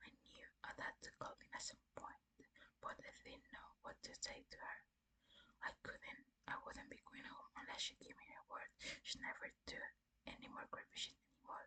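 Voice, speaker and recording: Whispering at a moderate pace. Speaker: ASMR creator. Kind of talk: soft whispered horror story reading for sleep. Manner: soft, whispering, relaxing.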